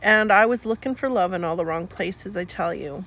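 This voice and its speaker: A woman uses a bright, sharp tone at medium pitch, speaking at a moderate pace. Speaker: life coach vlogger. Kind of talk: personal testimony vlog. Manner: halting, with fillers.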